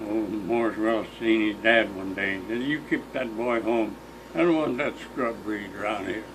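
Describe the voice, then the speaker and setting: A man of medium pitch talks at a moderate pace with ordinary pitch variation, heard with audible room echo and noticeable background noise. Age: 80s+. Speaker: elderly farm neighbor. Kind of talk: casual chat.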